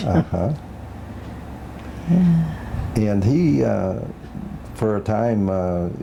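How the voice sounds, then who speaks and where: A man's fairly low voice with very wide pitch swings, a very slow pace and long, frequent pauses, against noticeable background noise. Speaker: oral history interviewer. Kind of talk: interview question.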